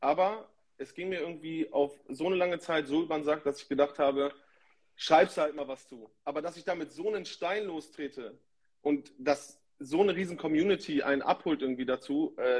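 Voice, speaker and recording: In a normal speaking voice, a man talks at a fairly high pitch and a fairly quick pace, with ordinary pitch variation and big swings in loudness. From northern Germany, Emsland (Lower Saxony) near Dutch border. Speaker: DJ. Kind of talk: casual chat.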